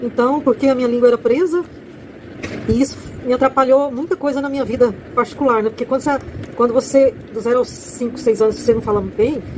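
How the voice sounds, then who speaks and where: Very fast speech with fairly even intonation and long, frequent pauses, against noticeable background noise. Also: woman, high pitch for a woman. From Brazil, rural farm upbringing. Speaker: author and content creator. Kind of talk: casual monologue promoting her book. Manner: halting, with false starts.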